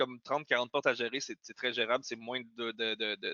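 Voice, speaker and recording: A man talks at a very fast pace. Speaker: webinar host, company founder. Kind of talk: webinar discussion.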